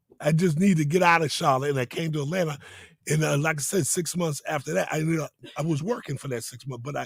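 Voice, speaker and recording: A man with an American accent talks at a very fast pace in a fairly high, somewhat breathy voice with ordinary pitch variation. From Boston, US. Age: 60s. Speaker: entrepreneur. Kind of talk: interview. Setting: studio.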